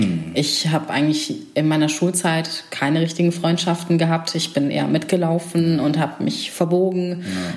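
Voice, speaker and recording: Noticeable background noise and audible room echo surround a woman with a fairly low pitch. She talks at a moderate pace with fairly even intonation. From Germany, Remscheid (North Rhine-Westphalia). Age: 30s. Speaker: political science graduate. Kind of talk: casual chat. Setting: at a dining table at home.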